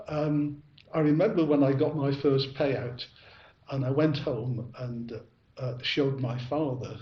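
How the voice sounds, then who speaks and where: A man with a Manchester accent and a fairly high voice speaks at a moderate pace with ordinary pitch variation, and room echo can be heard. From northern England, Ashton-under-Lyne, Greater Manchester. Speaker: bell ringer. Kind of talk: interview. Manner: halting, many fillers.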